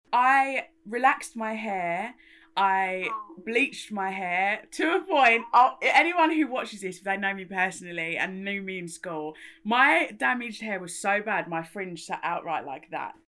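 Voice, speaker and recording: Her tone is bright and sharp, at a medium pitch, as a woman speaks at a fairly slow pace. The recording is very clean, with a silent background. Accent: London. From London, England. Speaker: makeup artist and campaigner. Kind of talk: casual interview.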